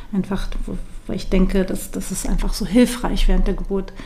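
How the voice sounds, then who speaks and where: The monotone, flat delivery comes with noticeable background noise and audible room echo. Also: woman. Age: 40s. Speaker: yoga teacher and postpartum doula. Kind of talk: interview.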